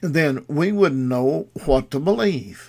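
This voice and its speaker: On a very clean recording with a silent background, a man with a Southern US accent speaks very slowly at a fairly high pitch with lively intonation. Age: 80s+. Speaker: radio preacher. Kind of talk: sermon. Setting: studio. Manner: halting.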